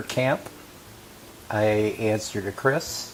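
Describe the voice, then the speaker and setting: Clear background noise runs behind a man whose pitch rises and falls normally. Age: 60s. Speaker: HIV survivor sharing his story. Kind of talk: interview testimony. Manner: hesitant, many fillers.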